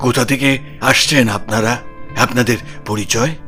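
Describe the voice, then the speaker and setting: Over clear background music, a man puts on a character voice. His pitch is medium and his pace moderate. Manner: grave.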